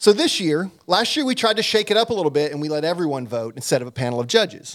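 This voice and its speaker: A man talks at a fairly quick pace in a fairly high pitch with lively intonation. He has a plain, everyday voice. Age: 40s. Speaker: sports commentator. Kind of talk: casual chat.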